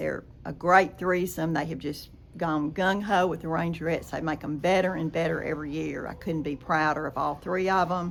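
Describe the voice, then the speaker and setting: A woman with an East Texas accent and vocal fry, at a moderate pace. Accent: East Texas Southern. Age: 80s+. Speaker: former college dancer and business owner. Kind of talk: interview. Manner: animated.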